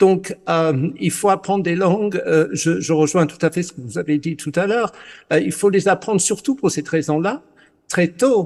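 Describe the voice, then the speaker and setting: Against a quiet background, the speaker talks at a moderate pace in an English accent with ordinary pitch variation. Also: man, high pitch for a man. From Britain. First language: English (speaking French). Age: 60s. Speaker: journalist. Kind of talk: panel discussion. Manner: halting, many hesitations.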